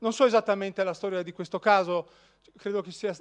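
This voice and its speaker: Male speech over quiet surroundings. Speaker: law professor. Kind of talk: lecture with slides. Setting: lecture hall with audience. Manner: informal, humorous. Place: hall.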